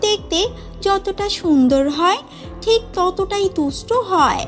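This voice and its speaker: A cartoonish character voice with extremely high pitch at a fairly slow pace, with clear music in the background. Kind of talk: children's fairy-tale narration. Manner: clear, steady.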